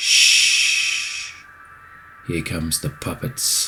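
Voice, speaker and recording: Putting on a character voice, a man pitches it extremely high. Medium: read story. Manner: theatrical showman.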